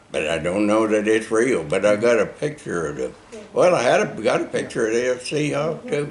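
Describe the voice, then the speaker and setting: Over noticeable background noise, a man with an American accent speaks at a moderate pace and a medium pitch, his voice making very wide pitch swings. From Oklahoma, USA. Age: 80s+. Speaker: war veteran. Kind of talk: interview answer.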